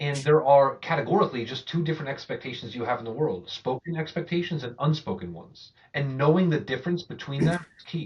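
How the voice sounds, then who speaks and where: A man talks at a very fast pace with hardly any pauses. His voice is somewhat breathy, with big swings in loudness. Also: fairly high pitch for a man, ordinary pitch variation. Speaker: go-to-market executive. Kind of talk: podcast interview.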